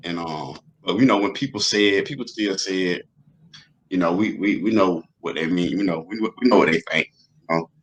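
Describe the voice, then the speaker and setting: This man's voice sits fairly low, and its pitch varies in an ordinary way. He talks fairly quickly. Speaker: rapper and podcast host. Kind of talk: interview conversation. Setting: live streamed podcast interview. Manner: casual, hesitant with fillers.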